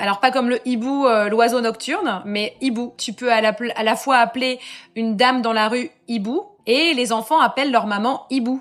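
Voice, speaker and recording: This woman's fairly high voice keeps fairly even intonation and a moderate pace. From France, Lorraine (Metz). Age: 30s. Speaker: expat mother. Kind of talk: podcast interview. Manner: casual, hesitant fillers.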